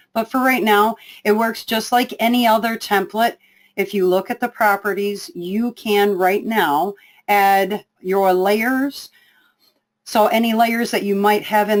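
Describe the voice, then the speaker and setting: A woman talks at a fairly slow pace in an ordinary speaking voice. Her medium pitch shows ordinary variation. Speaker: software trainer. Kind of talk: webinar tutorial.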